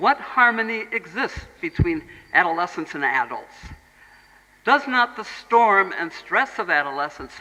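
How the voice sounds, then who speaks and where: This speaker, with an American accent, talks at a moderate pace. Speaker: Montessori educator, speaker. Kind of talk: lecture.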